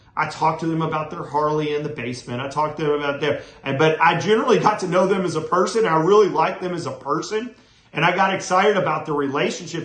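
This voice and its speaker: Talking at a very fast pace with an energetic tone and ordinary pitch variation, a man is heard with audible room echo and noticeable background noise. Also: fairly high pitch for a man. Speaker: real estate coach. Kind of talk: motivational talk to camera. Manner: fast when excited.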